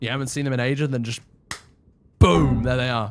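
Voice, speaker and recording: A man speaks loudly. The recording is very clean, with a silent background. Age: 20s. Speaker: gaming live streamer. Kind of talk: casual live stream chat while gaming. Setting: live stream. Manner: loud on stream.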